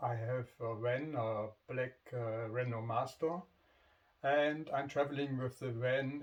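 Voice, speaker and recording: A man's medium-pitched voice with a non-native accent, very slow pace and fairly even intonation. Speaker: motorcycle vlogger. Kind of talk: casual vlog introduction. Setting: home garage. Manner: halting, many fillers.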